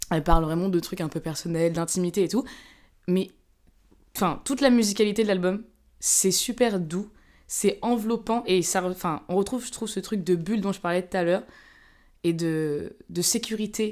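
A woman speaks at a medium pitch and a moderate pace with ordinary pitch variation. She takes long, frequent pauses in a very clean recording with a silent background. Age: 20s. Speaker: podcast guest. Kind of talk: casual chat.

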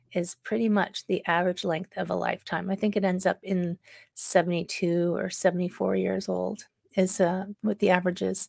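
A woman talks at a moderate pace in an ordinary speaking voice. The sound is dry and close with no echo, on a very clean recording with a silent background. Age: 50s. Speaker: wellness podcast host and leadership coach. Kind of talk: solo podcast monologue. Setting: live-streamed on Facebook. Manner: casual, with many fillers.

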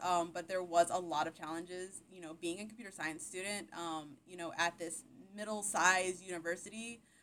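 The speaker has an unremarkable speaking voice and moves at a fairly quick pace with hardly any pauses. Intonation stays fairly even while loudness swings widely. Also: woman. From Texas, Austin area. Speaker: tech professional. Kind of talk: interview.

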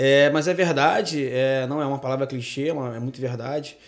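Here is a man with an unremarkable speaking voice. His pitch is fairly high and his pace moderate. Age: 30s. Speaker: gospel and rock musician. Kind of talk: radio interview.

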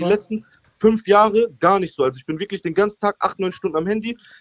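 A man talks at a very fast pace, recorded dry and close with no echo. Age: 20s. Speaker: caller. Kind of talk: call-in conversation. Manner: halting.

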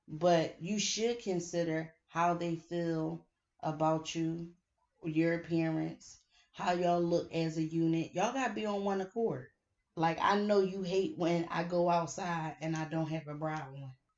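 Delivered in a plain, everyday voice, the speech moves at a fairly slow pace with fairly even intonation. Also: woman, fairly low pitch for a woman. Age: 30s. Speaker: podcast host. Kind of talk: casual chat.

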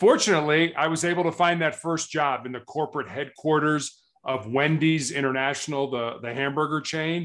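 With hardly any pauses and a fairly quick pace, a man with an American accent and an ordinary speaking voice talks fairly high with fairly even intonation against a quiet background. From United States. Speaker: cancer patient and motivational speaker. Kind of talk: interview.

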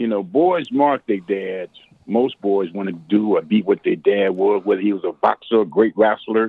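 Talking at a moderate pace, a man uses a fairly low pitch with ordinary pitch variation. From Chicago. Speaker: blues musician. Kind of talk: interview. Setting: phone call.

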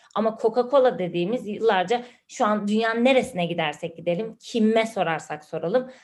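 A woman speaks in a normal speaking voice, fairly high in pitch, with ordinary pitch variation. Her pace is fairly quick with hardly any pauses, against a quiet background. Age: 30s. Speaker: podcast co-host, digital marketer. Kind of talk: casual chat.

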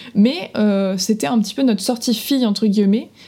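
Her tone dark and mellow, a woman speaks at fairly high pitch and a moderate pace with ordinary pitch variation. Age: 20s. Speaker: podcast co-host. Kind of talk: casual chat.

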